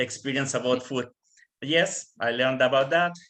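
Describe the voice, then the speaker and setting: This man speaks at a moderate pace with a medium pitch and a Spanish accent. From tropical Mexico. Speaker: Canadian Armed Forces member. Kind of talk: panel presentation answering questions. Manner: halting, frequent fillers.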